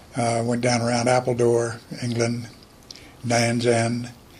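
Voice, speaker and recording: With audible room echo around it, the voice carries an American accent. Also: man. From North Carolina coast, Morehead City. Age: 80s+. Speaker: war veteran. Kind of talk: interview testimony.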